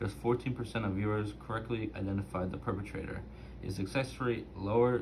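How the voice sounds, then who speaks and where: Audible room echo surrounds a man with a fairly low pitch. His pace is moderate and his intonation is lively. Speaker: student doing a reading assignment. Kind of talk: reading aloud. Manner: halting, self-correcting.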